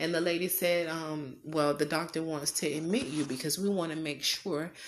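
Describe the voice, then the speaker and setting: A woman's fairly low-pitched, ordinary speaking voice with fairly even intonation. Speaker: podcaster. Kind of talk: testimony.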